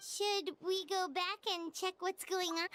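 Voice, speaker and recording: At a fairly slow pace, a put-on character voice squeaks along at an extremely high pitch. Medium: video game. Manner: anxious.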